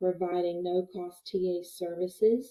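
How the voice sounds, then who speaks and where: A woman talks at a fairly slow pace with a slight Southern US accent. Her pitch is medium. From West Virginia. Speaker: workforce development consultant. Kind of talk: webinar presentation. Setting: online webinar.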